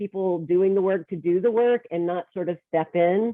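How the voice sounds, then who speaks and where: A woman's normal speaking voice with an American accent, fairly even intonation and a moderate pace. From Texas. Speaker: workshop presenter and leadership coach. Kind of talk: workshop presentation.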